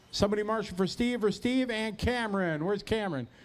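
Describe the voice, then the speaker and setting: A man with a high pitch talks loudly at a fairly quick pace. The recording is very clean, with a silent background. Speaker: race announcer. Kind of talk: event PA announcing.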